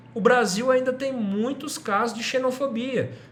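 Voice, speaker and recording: At a moderate pace the man talks, and audible room echo can be heard. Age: 30s. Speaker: teacher. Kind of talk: lecture.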